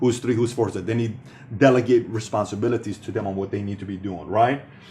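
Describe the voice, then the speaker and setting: A man's somewhat breathy, animated voice at a medium pitch and a very fast pace. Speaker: business speaker. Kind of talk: motivational talk.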